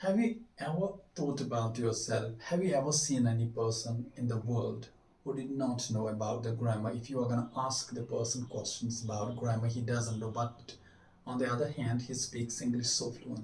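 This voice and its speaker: A man with a Kashmiri accent talks at a moderate pace with fairly even intonation, amid noticeable background noise and audible room echo. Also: medium pitch for a man. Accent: South Asian (Kashmiri) English. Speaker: English teacher. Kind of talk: tutorial. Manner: halting.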